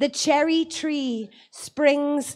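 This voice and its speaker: A high-pitched woman with an Irish accent and fairly even intonation. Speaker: poet. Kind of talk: poetry reading.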